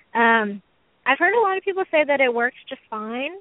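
Lively intonation in a Texan accent. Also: woman. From Texas, Houston. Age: 20s. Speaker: hobbyist snake breeder. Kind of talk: interview.

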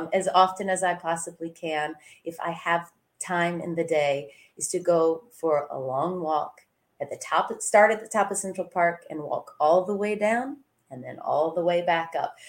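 Her pitch fairly low and her pace fairly slow, a woman with a plain, everyday voice shows ordinary pitch variation and big swings in loudness. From US South, small-town Georgia. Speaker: singer. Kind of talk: casual chat.

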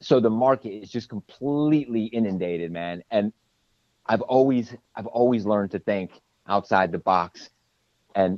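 A medium-pitched man at a moderate pace, with an American accent, lively intonation and a dry, close sound with no echo. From New Jersey. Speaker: hot sauce maker and business owner. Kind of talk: casual interview. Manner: animated.

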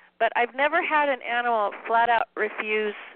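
Using a Californian accent, a woman speaks at a moderate pace with lively intonation and a fairly high pitch. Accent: Californian American English. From Southern California. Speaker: pet psychic and animal communicator. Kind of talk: radio interview.

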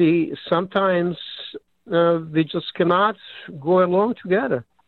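A man with a Serbo-Croatian accent speaks at a fairly slow pace. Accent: Yugoslav (Serbo-Croatian). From Yugoslavia. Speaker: caller. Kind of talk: call-in comment. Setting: phone call. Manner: halting.

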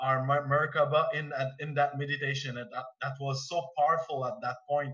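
A man with a Quebec accent talks at a fairly high pitch. His intonation stays monotone and flat. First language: French. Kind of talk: casual group discussion. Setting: video call. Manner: halting.

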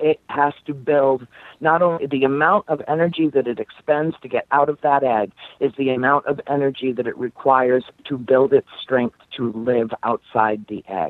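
In an American accent, a woman speaks at a moderate pace with a very deep, low pitch and ordinary pitch variation. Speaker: paranormal author. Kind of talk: podcast interview.

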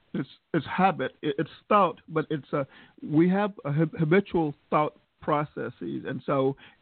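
Here a man talks in a Southern US accent. His pitch is fairly high, with ordinary variation. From US South. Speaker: podcast host. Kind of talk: casual interview. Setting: video call.

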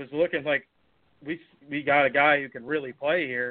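Fairly high for a man, this voice carries an American accent and an unremarkable speaking voice. He keeps a moderate pace with fairly even intonation. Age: young. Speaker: podcast co-host. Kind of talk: casual chat.

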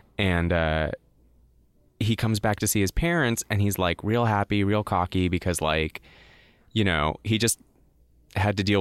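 This is an ordinary speaking voice from a man, pitched fairly low, with ordinary pitch variation and a moderate pace. The recording is very clean with a silent background, and the sound is dry and close with no echo. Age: 30s. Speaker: comics artist and writer. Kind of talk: casual chat.

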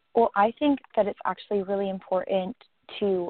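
A woman talks in a normal speaking voice at a medium pitch. Her intonation is fairly even. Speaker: co-guest, advocate. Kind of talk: interview.

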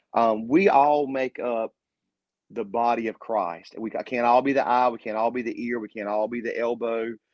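At a moderate pace, a man with a medium-pitched voice speaks in an ordinary speaking voice with fairly even intonation. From Eastern North Carolina. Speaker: pastor. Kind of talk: casual interview with preaching.

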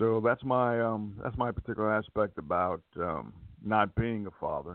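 A man speaks at a fairly low pitch. He has a plain, everyday voice. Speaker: caller. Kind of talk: casual opinion talk. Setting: phone call.

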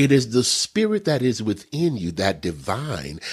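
Recorded very cleanly with a silent background, a man speaks at a moderate pace with very wide pitch swings. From Texas. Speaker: minister and prophet. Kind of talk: spiritual teaching interview. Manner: animated.

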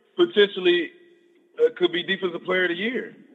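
This man's pitch jumps through very wide swings. Behind him, background noise is noticeable. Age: 30s. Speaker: professional football player. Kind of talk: casual interview. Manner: halting, many filler words.

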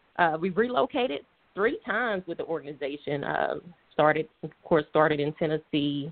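This woman has a very deep, low pitch. She speaks with an American accent. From US South, Atlanta, Georgia. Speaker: corporate supply chain director. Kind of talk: interview.

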